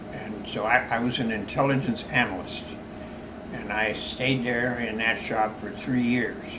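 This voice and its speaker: With noticeable background noise behind him, a man of medium pitch speaks at a fairly slow pace with fairly even intonation. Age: 80s+. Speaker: World War II Navy veteran, retired rear admiral. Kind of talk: interview answer.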